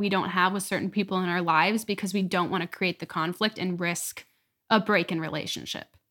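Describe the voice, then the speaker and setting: A woman's bright, sharp voice at a very fast pace, intonation fairly even. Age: young. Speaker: college student, musical theater major. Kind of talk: casual family chat. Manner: laughs often.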